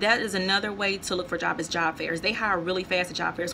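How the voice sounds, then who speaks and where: A woman talks with an American accent. There is noticeable background noise behind her. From North Louisiana, US. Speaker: vlogger. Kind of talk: casual vlog advice. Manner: conversational, with fillers.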